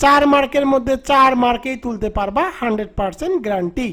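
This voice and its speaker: The man's voice is extremely high, though its pitch varies only in an ordinary way. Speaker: English tutor. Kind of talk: tutorial.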